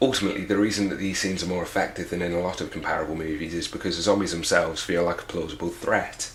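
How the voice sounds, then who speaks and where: Very fast speech in a British accent, fairly even in intonation, over noticeable background noise. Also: man. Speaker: film reviewer. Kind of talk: online film review narration. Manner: sardonic, humorous.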